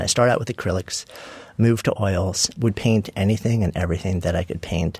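Somewhat breathy and fairly low-pitched, a man with an American accent talks at a fairly quick pace with fairly even intonation on a very clean recording with a silent background. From New York (Long Island suburb). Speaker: author and entrepreneur. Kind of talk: interview conversation.

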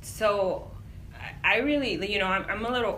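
Over noticeable background noise and audible room echo, a woman with an American accent talks at a moderate pace with lively intonation. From US-Mexico border, Imperial Valley California. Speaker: nonprofit migrant aid director. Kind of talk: interview. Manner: casual, filler-heavy.

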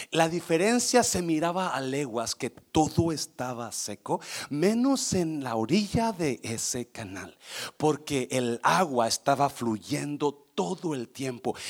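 A man talks at a very slow pace in a fairly high pitch, his voice swinging very widely up and down, recorded very cleanly with a silent background and a dry, close sound with no echo. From Mexico (born Guanajuato, raised Nayarit). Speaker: pastor. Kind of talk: sermon. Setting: church service with congregation.

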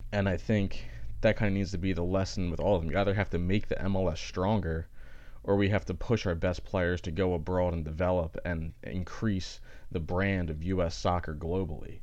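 A man speaks at a fairly quick pace in a very deep, low voice with fairly even intonation, and the room echo is audible. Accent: American. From Philadelphia, US. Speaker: sports podcast host. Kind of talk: solo sports commentary podcast. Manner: casual, filler-heavy.

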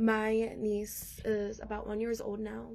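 There is audible room echo as a woman talks. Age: 20s. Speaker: podcast guest. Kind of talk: personal testimony.

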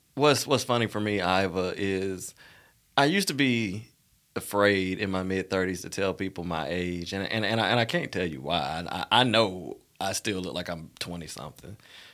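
A man with an Alabama accent speaks at a very deep, low pitch with ordinary pitch variation. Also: moderate pace. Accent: US Southern, Alabama. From Montgomery, Alabama. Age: 30s. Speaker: former co-host, professional. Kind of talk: casual interview chat.

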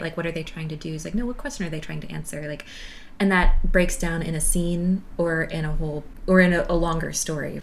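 A woman with an American accent talks at a fairly quick pace in a fairly low voice, an unremarkable speaking voice with fairly even intonation. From US South. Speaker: podcast host. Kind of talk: casual conversation.

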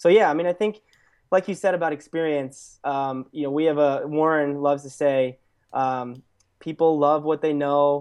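A man speaks with an American accent and a fairly high pitch. His pace is moderate and his intonation fairly even. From Pennsylvania, Lehigh Valley. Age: young. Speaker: startup co-founder. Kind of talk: interview. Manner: hesitant with fillers.

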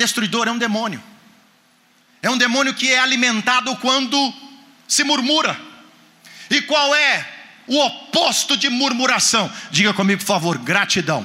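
In a raised, projected voice at an extremely high pitch, a man talks with an animated tone, ordinary pitch variation, very even loudness and a moderate pace broken by long, frequent pauses, with noticeable background noise and audible room echo. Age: 50s. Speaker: guest preacher. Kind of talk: sermon.

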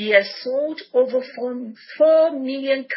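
A woman talks with a Nigerian accent. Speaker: podcast host. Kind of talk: interview. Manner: animated.

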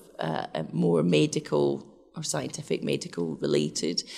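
A woman speaks with a Scottish accent. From west of Scotland, Glasgow. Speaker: research scientist. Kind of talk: interview.

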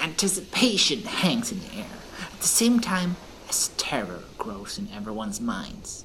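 A put-on character voice at a middle pitch over clear background noise. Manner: calm, wry, worldly.

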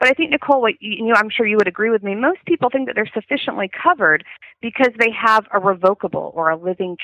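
With an American accent, a woman talks at a very fast pace, her medium pitch carried by lively intonation. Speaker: elder law attorney. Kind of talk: podcast interview.

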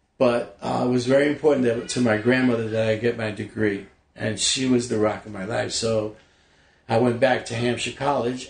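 The speaker has a New York accent. The pace is moderate. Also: man. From New York City (Bronx). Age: 60s. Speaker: actor. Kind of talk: casual chat. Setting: at home.

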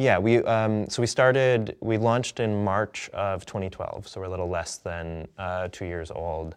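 A man's normal speaking voice, fairly low in pitch, at a moderate pace with ordinary pitch variation against a quiet background. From US Midwest (Madison, Wisconsin). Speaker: media company co-founder, former comedy editor. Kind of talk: interview conversation.

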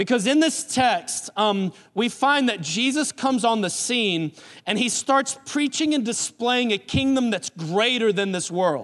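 His intonation is lively and his pitch high. The man speaks with a Southern US accent. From US South, New Orleans and South Carolina. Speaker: pastor. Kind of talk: sermon. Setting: church.

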